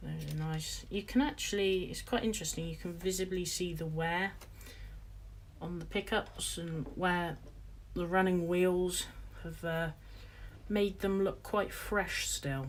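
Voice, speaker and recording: This woman speaks in a British accent at a fairly slow pace. She leaves long, frequent pauses. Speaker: model railway hobbyist streamer. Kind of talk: live stream tutorial.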